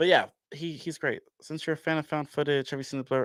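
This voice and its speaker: In a very clean recording with a silent background, a man with a fairly high pitch talks at a fairly quick pace in an animated tone. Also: dry, close sound with no echo. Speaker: horror movie fan, theatre channel creator. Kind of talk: casual chat. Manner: fast.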